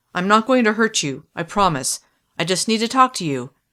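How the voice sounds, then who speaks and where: A woman puts on a character voice at a medium pitch. Her pitch swings very widely and her pace is fairly quick. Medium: read story. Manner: tense, low and controlled.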